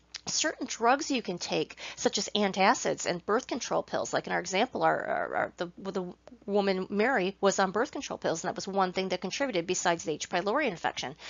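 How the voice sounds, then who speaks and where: Speaking at a fairly quick pace with hardly any pauses, a woman of medium pitch uses lively intonation and some vocal fry. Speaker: nutrition specialist. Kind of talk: lecture. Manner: halting.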